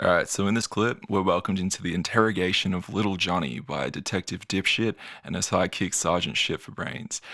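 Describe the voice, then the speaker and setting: With an Australian accent and a bright, sharp tone, a man speaks in a very deep, low pitch at a fairly quick pace with hardly any pauses and ordinary pitch variation, on a very clean recording with a silent background. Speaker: YouTuber. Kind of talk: commentary video. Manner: animated.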